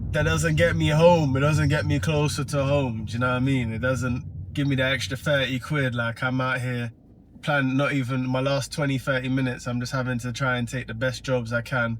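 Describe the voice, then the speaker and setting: Someone with an English accent talks with hardly any pauses. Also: man, medium pitch for a man, ordinary pitch variation, fairly quick pace. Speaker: rideshare driver vlogger. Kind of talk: casual vlog monologue. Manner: animated.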